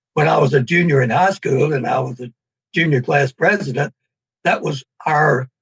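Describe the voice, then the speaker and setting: A man with a Southern US accent speaks at a moderate pace, his fairly high voice somewhat breathy. His pitch varies in an ordinary way, and the sound is dry and close with no echo. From US South, Tennessee. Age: 80s+. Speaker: author. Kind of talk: interview. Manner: halting.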